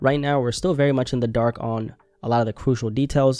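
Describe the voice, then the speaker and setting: At a very fast pace, a man with a non-native accent speaks at medium pitch in a dark, mellow tone with ordinary pitch variation, over a quiet background. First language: not English. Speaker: commentary youtuber. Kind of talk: news commentary. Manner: casual, conversational.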